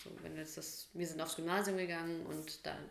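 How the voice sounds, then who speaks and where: Speech comes at a moderate pace, with audible room echo around it. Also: woman. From Bavaria, Germany (Munich, then Hof). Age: 30s. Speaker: podcast co-host. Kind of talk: casual chat.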